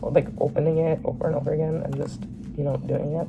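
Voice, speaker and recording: Noticeable background noise runs beneath a woman talking at a very fast pace. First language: Bengali. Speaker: vlogger. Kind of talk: casual Q&A vlog. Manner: rambling, hesitant with many fillers.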